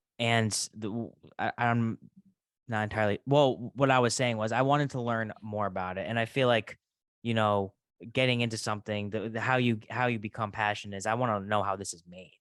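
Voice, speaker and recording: An unremarkable speaking voice, a man's medium-pitched delivery comes at a fairly quick pace with fairly even intonation and big swings in loudness. The sound is dry and close with no echo over a quiet background. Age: 20s. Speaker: podcast host. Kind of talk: casual chat.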